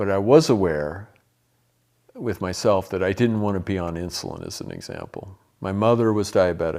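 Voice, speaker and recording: At a moderate pace, a man speaks with fairly low pitch, ordinary pitch variation, a dark, mellow tone and big swings in loudness. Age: 60s. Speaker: health educator. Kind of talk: testimony; lecture. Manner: halting.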